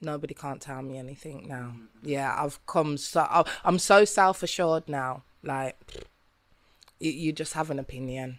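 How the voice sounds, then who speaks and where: With a Birmingham accent, a woman talks at a moderate pace with a very deep, low pitch. Her pitch variation is ordinary, and her loudness swings widely. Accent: Brummie. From Birmingham, England. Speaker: singer-songwriter and rapper. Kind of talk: casual interview.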